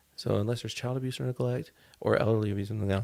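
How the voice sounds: Mumbling at a very fast pace, a man uses a put-on character voice with a fairly low pitch on a very clean recording with a silent background.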